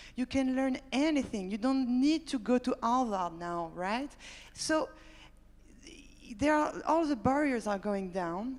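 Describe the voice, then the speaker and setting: A woman with a high pitch speaks in a French accent, her intonation lively. She moves at a fairly slow pace with long, frequent pauses, in a very clean recording with a silent background. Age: 30s. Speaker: startup founder. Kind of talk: panel discussion.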